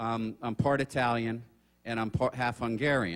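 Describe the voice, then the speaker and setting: A man speaks at medium pitch and a moderate pace. He has a plain, everyday voice with ordinary pitch variation. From South Florida (moved from New Jersey at age 8). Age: 60s. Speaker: author and seminar speaker. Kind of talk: seminar talk. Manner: conversational, many fillers.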